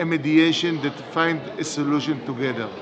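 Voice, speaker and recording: A man speaks at a fairly high pitch. The room echoes audibly and background noise is noticeable. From Israel. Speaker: democratic education advocate. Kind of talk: recorded video appeal. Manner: halting.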